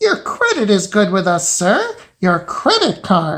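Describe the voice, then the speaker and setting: A man in a put-on character voice, high-pitched, at a fairly slow pace. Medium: read story.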